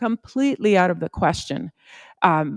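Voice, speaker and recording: A woman speaks in a warm tone with a Spanish accent. The recording is very clean, with a silent background. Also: dry, close sound with no echo. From Puerto Rico, then Yuma, Arizona from age 14. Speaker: supreme court justice. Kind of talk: advice talk to students. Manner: conversational, warm.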